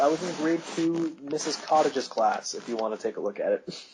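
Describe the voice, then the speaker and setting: A man speaks at a fairly quick pace with hardly any pauses, his pitch fairly high, over noticeable background noise. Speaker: podcast host. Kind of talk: casual chat. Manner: halting.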